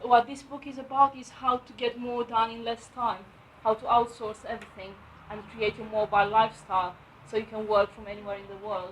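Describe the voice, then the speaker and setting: The voice swings widely in loudness while keeping fairly even intonation, with noticeable background noise behind it. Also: woman, fairly high pitch for a woman. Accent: Romanian. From Romania. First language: Romanian. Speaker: property investor and letting agent. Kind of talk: book review talk at networking event. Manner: halting, many fillers.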